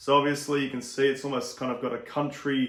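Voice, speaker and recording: Fairly high-pitched man with an Australian accent, over noticeable background noise. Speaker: beer reviewer. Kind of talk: product review. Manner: casual, with filler words.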